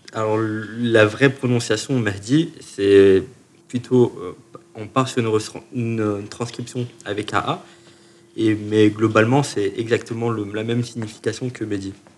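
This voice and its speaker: Noticeable background noise runs under the recording. A man speaks at a fairly slow pace and medium pitch with fairly even intonation. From France, Chalon-sur-Saône (Burgundy). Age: 30s. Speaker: musician. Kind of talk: interview. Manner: halting, many repetitions.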